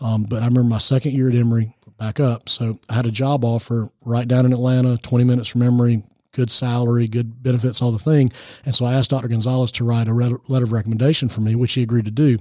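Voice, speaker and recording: A man speaks very fast with an American accent, at a medium pitch and in a dark, mellow tone. His delivery is monotone and flat, very even in loudness, with a dry, close sound and no echo. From US South, Georgia. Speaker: nonprofit founder, former youth minister. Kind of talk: radio interview. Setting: studio. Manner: preacher-like delivery.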